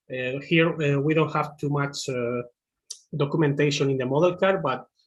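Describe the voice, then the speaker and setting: A somewhat breathy man with a Spanish accent speaks at a fairly high pitch with fairly even intonation over a quiet background. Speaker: machine learning engineer; presenter. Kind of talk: webinar tutorial. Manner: halting, many fillers. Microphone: video call.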